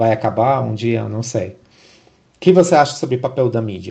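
The man's voice has a dark, mellow tone with vocal fry. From abroad, not Brazil. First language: not Portuguese (speaking Portuguese). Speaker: podcast host. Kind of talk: podcast interview. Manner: halting, many repetitions.

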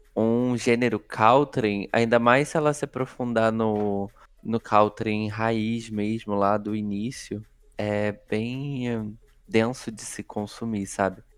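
A man's medium-pitched voice at a very slow pace, flat and monotone throughout. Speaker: podcast host. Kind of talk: casual chat.

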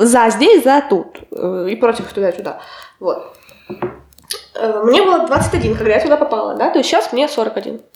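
Her high-pitched voice swinging very widely, a woman speaks with long, frequent pauses. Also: moderate pace. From Russia, Kotlas. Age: 20s. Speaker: applied ethics student. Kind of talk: casual chat.

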